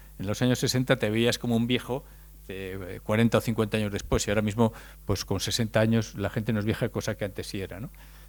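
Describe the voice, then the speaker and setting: Very fast, monotone, flat speech from a man with a fairly low pitch, in a very clean recording with a silent background. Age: 60s. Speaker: speaker on demographics. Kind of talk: lecture. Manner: halting, with repetitions.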